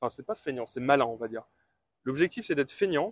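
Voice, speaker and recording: Here a man's voice makes very wide pitch swings. The sound is dry and close, with no echo. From Brittany, France. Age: 20s. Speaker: entrepreneur running a book-summary website. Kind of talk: interview. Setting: outdoors.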